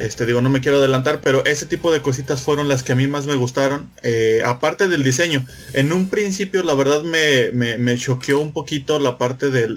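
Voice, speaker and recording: There is noticeable background noise as a man speaks. He moves at a fairly quick pace with ordinary pitch variation. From Mexico. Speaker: podcaster guest. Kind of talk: casual chat.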